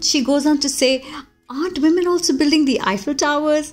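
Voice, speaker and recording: An upbeat, high-pitched woman's voice with music in the background. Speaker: voice artist. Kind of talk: podcast commentary. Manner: upbeat, positive.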